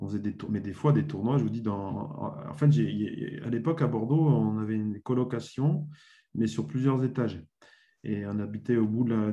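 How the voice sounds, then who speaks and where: A man's medium-pitched voice, dark and mellow in tone, with lively intonation at a moderate pace. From Burgundy, France. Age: 40s. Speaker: former sports journalist and author. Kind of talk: interview. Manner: hesitant, many fillers.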